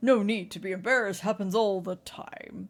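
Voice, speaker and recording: Putting on a booming character voice, a woman speaks at a medium pitch. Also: moderate pace. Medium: game stream. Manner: courteous, formal.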